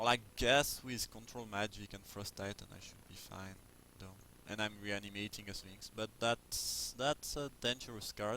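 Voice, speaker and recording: A man speaks at a fairly slow pace with fairly even intonation. His pitch is fairly low, his tone bright and sharp. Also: big swings in loudness. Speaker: Magic card game player and commentator. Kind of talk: casual gameplay commentary. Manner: hesitant, many fillers.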